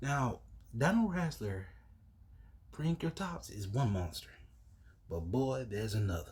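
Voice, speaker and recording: A somewhat breathy man speaks at a fairly slow pace with long, frequent pauses. His medium pitch moves in very wide swings. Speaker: YouTuber card game reviewer. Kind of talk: deck showcase reading card text.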